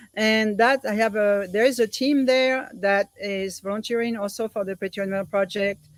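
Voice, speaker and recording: A woman speaks with a French accent. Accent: French accent, noticeable. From France, Paris suburbs. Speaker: volunteer organizer, guest. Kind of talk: interview conversation.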